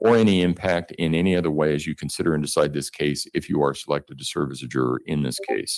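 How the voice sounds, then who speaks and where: A man's fry-edged voice at a fairly quick clip, with lively intonation. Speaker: judge. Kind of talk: courtroom jury instructions. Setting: courtroom. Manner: formal.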